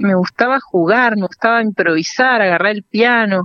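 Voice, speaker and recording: Using an ordinary speaking voice, a woman speaks at a fairly slow pace. Her pitch is fairly high, with ordinary pitch variation. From Argentina, Entre Ríos (Paraná). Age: young. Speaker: singer and music teacher. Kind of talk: radio interview. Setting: phone call.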